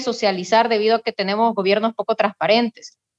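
A woman talks with a fairly high pitch. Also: dry, close sound with no echo. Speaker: political candidate. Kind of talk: candidate panel interview.

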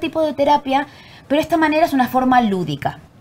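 This woman speaks with an Argentine accent. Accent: Argentine Spanish, voseo. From Argentina. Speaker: actress and acting teacher. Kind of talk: casual chat.

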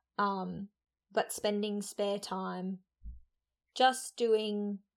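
The recording is very clean, with nothing audible in the background. A woman talks in monotone, flat intonation. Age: 20s. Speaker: podcast host. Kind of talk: casual solo talk.

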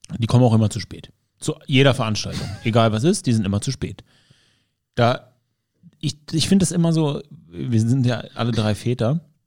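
A man at a moderate pace with lively intonation and long, frequent pauses. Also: medium pitch for a man. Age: 30s. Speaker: podcast host, self-employed studio owner. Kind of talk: casual chat. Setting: studio.

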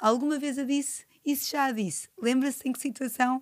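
A woman speaks in a high pitch at a moderate pace. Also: very clean recording, silent background. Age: 40s. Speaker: podcast host and nutritionist. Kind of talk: casual interview.

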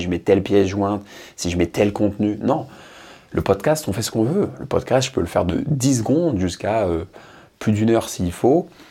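This man has a fairly low pitch and a dark, mellow tone. He talks at a moderate pace. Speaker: motivational podcaster. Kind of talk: solo monologue. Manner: animated; improvised.

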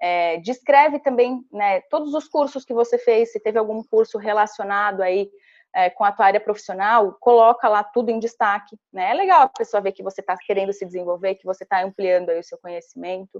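A woman with a normal speaking voice talks at a medium pitch with ordinary pitch variation, her loudness swinging a lot and hardly any pauses, in a dry, close recording with no echo. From Santa Catarina, Brazil (small interior town). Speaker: tech company relationship manager, former recruiter. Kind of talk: interview, career advice tutorial.

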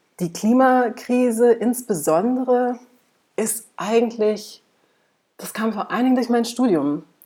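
Speaking fairly slowly with long, frequent pauses, a woman has a fairly high pitch and a dark, mellow tone. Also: ordinary pitch variation. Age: 30s. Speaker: climate researcher and activist. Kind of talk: interview.

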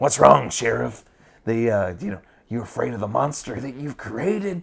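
In a put-on character voice, a man speaks at a fairly slow pace with a medium pitch and very wide pitch swings. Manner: taunting, menacing.

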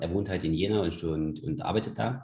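A somewhat breathy man at a moderate pace. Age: 30s. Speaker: sports league founder and CrossFit gym owner. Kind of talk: casual interview.

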